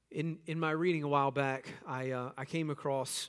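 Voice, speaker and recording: Here is a man with an unremarkable speaking voice. He talks at a moderate pace and a fairly high pitch. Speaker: pastor. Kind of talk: sermon. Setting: church. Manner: earnest, fervent, pleading prayer tone; conversational, humorous.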